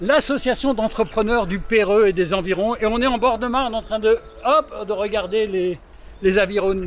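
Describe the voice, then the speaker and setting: Over noticeable background noise, a man speaks at a moderate pace. His pitch is high, with ordinary pitch variation. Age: 60s. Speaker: business association member, interviewer. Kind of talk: interview. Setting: outdoors.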